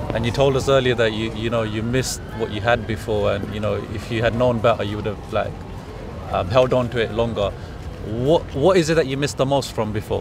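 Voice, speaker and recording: A man talks at a fairly quick pace with ordinary pitch variation, his voice dry with no echo against noticeable background noise. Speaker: street interviewer. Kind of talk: interview questions. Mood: gentle, sympathetic. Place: street.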